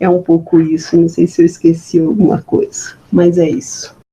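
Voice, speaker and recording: A woman's fairly low-pitched voice at a fairly slow pace, over noticeable background noise. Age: 70s. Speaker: history professor. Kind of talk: interview. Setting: at home. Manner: halting, many repetitions.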